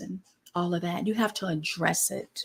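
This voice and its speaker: A woman's somewhat breathy, animated voice, fairly slow in pace, with lively intonation. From US, grew up in the projects. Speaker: spiritual mentor. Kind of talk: live stream teaching. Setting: livestream.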